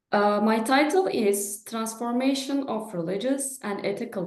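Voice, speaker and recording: Fairly slow, fairly high-pitched speech from a woman with a Turkish accent and ordinary pitch variation. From Turkey. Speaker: professor. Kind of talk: lecture. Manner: halting.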